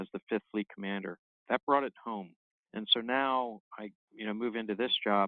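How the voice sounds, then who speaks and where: This is a plain, everyday voice. It keeps fairly even intonation at a moderate pace. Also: man. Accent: American. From Maryland/southern Pennsylvania, US. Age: 60s. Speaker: naval officer. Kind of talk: interview.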